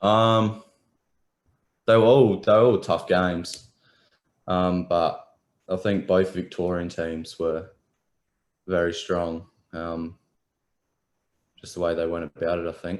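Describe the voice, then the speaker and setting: On a very clean recording with a silent background, a man with an Australian accent speaks at a very deep, low pitch. He goes at a very slow pace, with long, frequent pauses and fairly even intonation. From Adelaide, South Australia. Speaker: professional footballer. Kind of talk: interview. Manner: halting, many ums.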